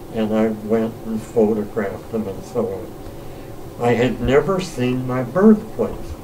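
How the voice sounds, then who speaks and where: In an American accent, a man speaks very slowly at medium pitch with ordinary pitch variation and hardly any pauses, amid noticeable background noise and audible room echo. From US Midwest, Cleveland, Ohio. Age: 80s+. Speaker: retired academic telling life stories. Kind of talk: interview storytelling. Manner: halting.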